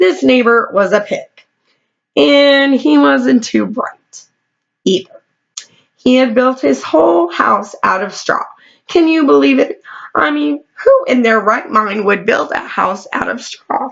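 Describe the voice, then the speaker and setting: Using a put-on character voice, a woman speaks raspy and fairly high at a fairly slow pace, with very wide pitch swings and long, frequent pauses. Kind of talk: bedtime story. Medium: read story.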